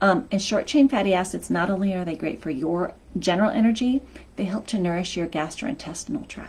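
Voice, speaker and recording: A woman talks at a fairly quick pace. Her medium-pitched voice has lively intonation. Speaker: health coach. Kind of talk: live stream talk. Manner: energetic.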